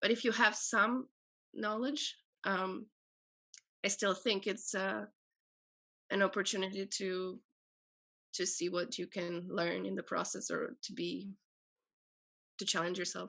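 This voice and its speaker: A woman with an Albanian accent talks at a fairly slow pace, with long, frequent pauses and ordinary pitch variation. The background is quiet. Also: medium pitch for a woman. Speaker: poet and translator. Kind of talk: panel discussion. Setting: video call.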